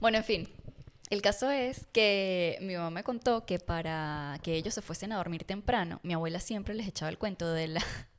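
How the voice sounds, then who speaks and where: A woman speaks with a Táchira Venezuelan accent. Her pitch shows ordinary variation. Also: medium pitch for a woman, moderate pace. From Venezuela, Rubio, Táchira. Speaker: podcast co-host. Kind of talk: casual chat.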